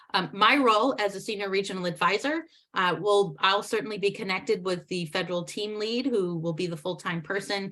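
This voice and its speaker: The tone is bright and sharp, with an American accent. The pace is fairly quick. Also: woman. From US East Coast. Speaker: federal regional advisor. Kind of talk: meeting report. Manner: fast.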